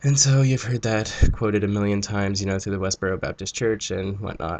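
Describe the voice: With fairly even intonation, a man speaks at a fairly low pitch in a nasal voice with a slightly mellow tone. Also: fairly quick pace.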